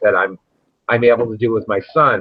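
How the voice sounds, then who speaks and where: The speaker is a man. His voice falls at a medium pitch. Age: 60s. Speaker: cannabis grower. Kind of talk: casual chat. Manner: animated.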